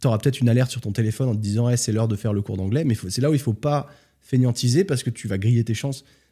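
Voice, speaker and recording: Talking at a very fast pace, a man uses medium pitch with ordinary pitch variation and a dark, mellow, somewhat breathy tone. The recording is very clean with a silent background. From France. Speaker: entrepreneur and traveler. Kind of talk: casual interview.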